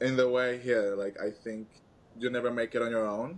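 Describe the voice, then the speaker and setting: A man with a Venezuelan accent, medium pitch, fairly even intonation, and a fairly quick pace. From Venezuela, Caracas. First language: Spanish. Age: 20s. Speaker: podcast guest, activist. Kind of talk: casual interview chat.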